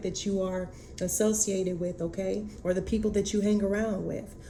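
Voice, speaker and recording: Speech at a moderate pace, flat and monotone in intonation, echoing audibly in the room. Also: woman. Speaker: tarot reader. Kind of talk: oracle card reading. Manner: halting, many fillers.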